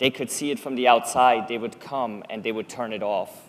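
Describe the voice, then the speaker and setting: Pitch variation is ordinary. The pace is moderate. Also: man. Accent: Swiss German. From Switzerland. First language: Swiss German. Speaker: public speaker. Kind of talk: talk to an audience.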